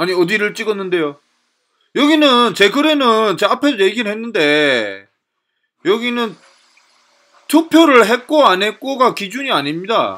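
A man's raised, projected voice, high-pitched with a bright, sharp tone and very wide pitch swings, broken by long, frequent pauses. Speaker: political commentator. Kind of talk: lecture. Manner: halting.

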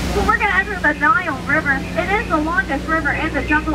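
A woman at a fairly quick pace amid loud background noise. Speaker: ride tour guide. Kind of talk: scripted tour commentary with jokes. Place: boat.

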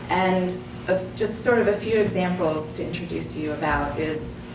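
A woman's fairly low voice with fairly even intonation, audible room echo and clear background noise

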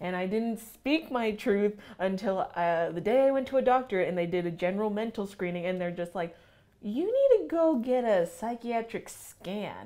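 Against a quiet background, a woman with a dark, mellow tone speaks at a moderate pace with lively intonation. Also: medium pitch for a woman. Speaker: student podcast co-host. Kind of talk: casual chat. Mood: earnest, personal. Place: meeting room. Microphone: lapel.

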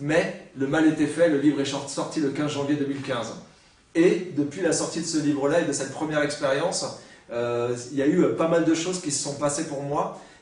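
Heard with audible room echo, a man with a fairly high pitch talks at a moderate pace with fairly even intonation. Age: 40s. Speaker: writer. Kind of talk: lecture; seminar talk. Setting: university seminar with audience. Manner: halting. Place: classroom.

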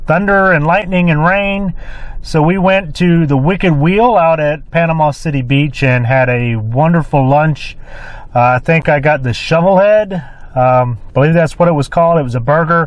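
Here a man speaks at a moderate pace with ordinary pitch variation. His loudness stays very even, and the sound is dry with no echo. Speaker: ham radio vlogger. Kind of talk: casual vlog chat. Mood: relaxed, content. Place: car. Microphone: phone near.

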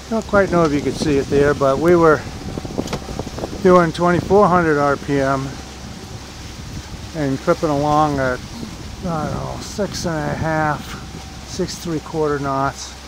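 Long, frequent pauses break up the speech, with noticeable background noise and a dry sound with no echo. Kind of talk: casual vlog commentary. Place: boat. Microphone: phone near.

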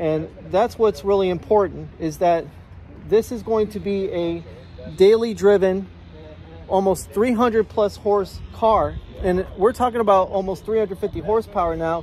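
Faint music plays in the background as a man speaks in a high pitch, the sound dry with no echo. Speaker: car enthusiast vlogger. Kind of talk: casual vlog commentary. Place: street. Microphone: phone near.

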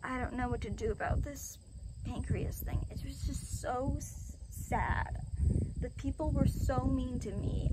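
A woman at a fairly slow pace against loud background noise. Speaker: vlogger. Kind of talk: casual vlog chat. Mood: upset, venting frustration. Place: open country. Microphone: phone near.

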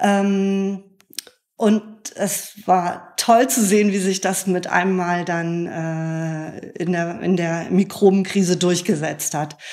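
The woman's pitch sits in the medium range. She speaks at a very slow pace with fairly even intonation. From northern Germany (Bremen). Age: 50s. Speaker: beer sommelier and author. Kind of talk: interview conversation.

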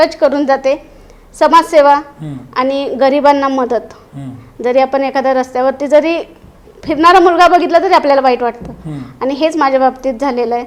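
Over noticeable background noise, a woman speaks at high pitch with fairly even intonation. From Maharashtra, Satara. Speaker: parliamentary candidate. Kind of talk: interview. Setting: studio.

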